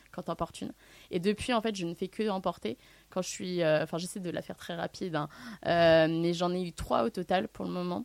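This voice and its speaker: A woman with a fairly low voice speaks at a fairly quick pace with ordinary pitch variation, recorded dry and close with no echo. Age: 20s. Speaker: student living with alopecia. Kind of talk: testimony. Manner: halting.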